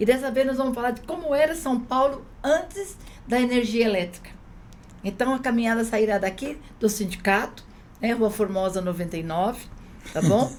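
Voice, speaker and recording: A woman with a fairly high pitch takes long, frequent pauses. Noticeable background noise is present. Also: lively intonation, moderate pace. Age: 60s. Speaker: union activist. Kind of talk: casual chat.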